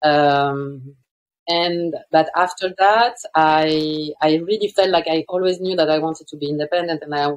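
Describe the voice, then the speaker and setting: A woman speaks at a very deep, low pitch. Her intonation stays fairly even. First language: not English. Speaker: fashion designer and brand founder. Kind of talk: interview. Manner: hesitant, many fillers.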